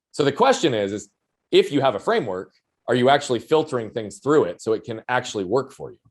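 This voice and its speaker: A man talks at a very fast pace. Vocal fry runs through his voice. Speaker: performance coach and speaker. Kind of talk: interview conversation. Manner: loud.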